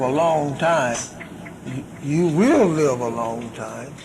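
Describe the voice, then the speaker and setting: Very slow speech from a man with a fairly high pitch, amid noticeable background noise and audible room echo. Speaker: religious minister. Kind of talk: question and answer session. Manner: halting.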